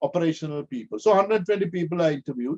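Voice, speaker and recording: A man with lively intonation, the sound dry and close with no echo. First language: not English. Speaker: professor. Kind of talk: lecture. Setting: video call.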